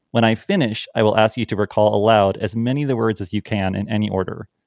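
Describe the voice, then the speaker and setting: The speaker is male. He talks at a fairly quick clip. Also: dry, close sound with no echo. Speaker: podcast host and statistics teacher. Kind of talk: educational podcast conversation. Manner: fast talker.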